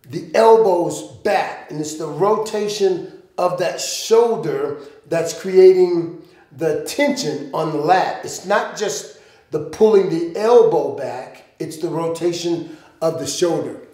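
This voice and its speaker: A man with a high voice speaks very slowly, his loudness swinging widely, with audible room echo. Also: ordinary pitch variation. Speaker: fitness coach. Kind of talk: tutorial. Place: gym.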